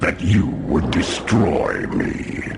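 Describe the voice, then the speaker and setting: A man speaks in a put-on character voice pitched very deep and low, with clear background noise behind him. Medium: machinima. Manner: proud, solemn.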